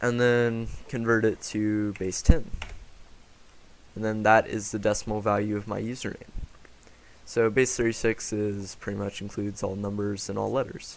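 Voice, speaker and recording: A man's fairly low voice at a moderate pace, with monotone, flat intonation and long, frequent pauses. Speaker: software developer presenting own app. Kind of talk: software demo tutorial. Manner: casual with filler words.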